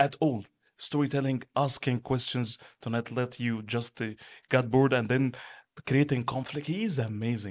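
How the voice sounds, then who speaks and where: A man's medium-pitched voice with an Arabic accent, ordinary pitch variation and a moderate pace. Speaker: entrepreneur and business manager. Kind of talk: interview.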